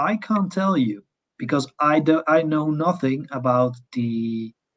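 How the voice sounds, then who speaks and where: A man with a non-native accent speaks in a fairly high voice that makes very wide pitch swings. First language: not English. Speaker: test automation consultant. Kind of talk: conference Q&A. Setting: online conference. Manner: halting.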